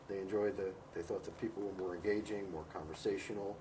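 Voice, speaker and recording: A somewhat breathy man with an American accent, fairly low in pitch, at a fairly quick pace. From United States. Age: 60s. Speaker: professor and author on Vietnam. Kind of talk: interview. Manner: halting, many fillers.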